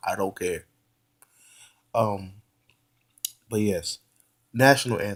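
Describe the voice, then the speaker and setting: A man is speaking. His pace is fairly slow. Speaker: YouTube commentator. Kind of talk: casual monologue. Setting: at home on a couch. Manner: animated; halting.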